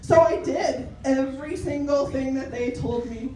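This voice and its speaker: A loud woman speaks at a high pitch with ordinary pitch variation, her voice carrying audible room echo over noticeable background noise. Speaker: health and wellness coach. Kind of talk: presentation to a networking group. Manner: animated.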